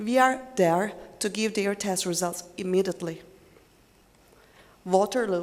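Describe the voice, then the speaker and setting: A woman's speech, with ordinary pitch variation and a moderate pace, is heard against noticeable background noise. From Turkey. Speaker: business development manager. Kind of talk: conference presentation.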